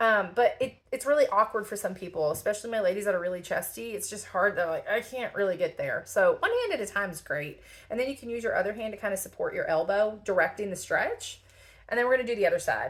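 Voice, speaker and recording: A woman talks at a very fast pace with a slight Southern US accent. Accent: slight Southern country twang. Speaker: lymphedema therapist. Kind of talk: tutorial. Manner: casual, chatty.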